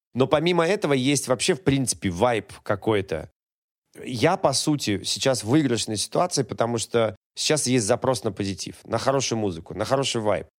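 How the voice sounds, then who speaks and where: Animated and lively in intonation, a man speaks at a moderate pace and medium pitch in a very clean recording with a silent background. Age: 40s. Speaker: TV host, sports commentator and musician. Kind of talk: casual chat.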